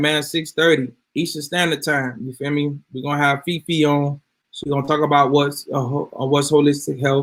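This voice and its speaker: This man speaks at a fairly quick pace with a fairly high pitch. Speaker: health products video host. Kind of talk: casual talk to viewers. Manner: loud.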